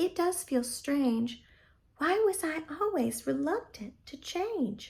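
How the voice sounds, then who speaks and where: A woman uses a put-on character voice at an extremely high pitch. She speaks at a fairly slow pace. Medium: read story.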